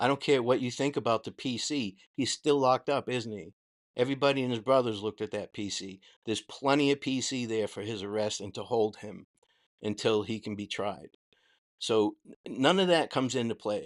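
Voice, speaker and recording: An American-accented man speaks at a fairly quick pace with a medium pitch. His pitch varies in an ordinary way, and the sound is dry and close with no echo. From Boston. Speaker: former corrections officer, livestream host. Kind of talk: livestream commentary. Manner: animated.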